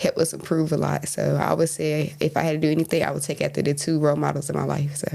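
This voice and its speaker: Over noticeable background noise, a woman with a North Carolina accent talks at a very fast pace with hardly any pauses. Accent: US South, North Carolina. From eastern North Carolina. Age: 20s. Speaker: basketball coach. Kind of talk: interview. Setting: studio. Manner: polite, brief answers.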